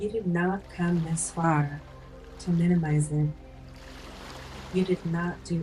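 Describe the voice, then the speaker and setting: Soft-spoken whispering from a woman at a very slow pace, with music in the background. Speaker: life coach. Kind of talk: ASMR life coaching affirmations. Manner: soft-spoken, whispered.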